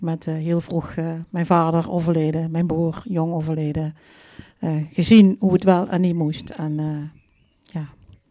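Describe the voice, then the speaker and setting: A woman with a dark, mellow tone speaks with long, frequent pauses. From Vierlingsbeek, Dutch Limburg. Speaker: funeral celebrant. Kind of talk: live stage interview. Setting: stage with audience.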